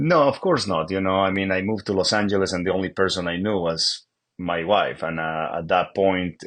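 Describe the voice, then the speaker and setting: The speaker has a Bolivian accent and fairly even intonation at a moderate pace. The background is quiet. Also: man. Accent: Bolivian Spanish accent, noticeable. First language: Spanish. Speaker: real estate agent. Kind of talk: interview. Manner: halting, many fillers and repeats.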